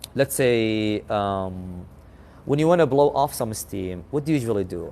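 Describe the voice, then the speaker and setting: With an Arabic accent, a man speaks at a fairly slow pace, his medium-pitched voice dark and mellow in tone and lively in intonation. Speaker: English conversation host. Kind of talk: casual chat.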